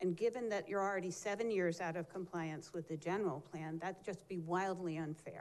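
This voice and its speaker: In an ordinary speaking voice, a woman with fairly low pitch talks at a moderate pace with fairly even intonation. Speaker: energy company representative. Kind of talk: public comment presentation to council.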